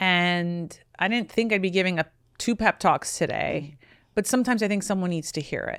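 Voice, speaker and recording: Recorded very cleanly with a silent background, a woman in an ordinary speaking voice talks at a medium pitch and moderate pace, with ordinary pitch variation. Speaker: matchmaker, podcast host. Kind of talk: podcast conversation, advice.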